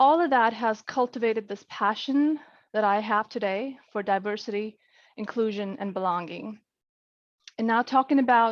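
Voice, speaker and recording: A woman speaks at a moderate pace in a fairly high voice with a non-native accent. Her pitch varies in an ordinary way. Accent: foreign. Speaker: corporate diversity lead. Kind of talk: panel discussion.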